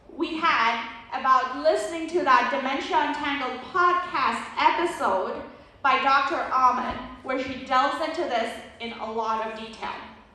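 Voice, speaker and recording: Over noticeable background noise and audible room echo, a woman with a high pitch projects a raised voice at a fairly slow pace, with ordinary pitch variation. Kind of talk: lecture. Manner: conversational.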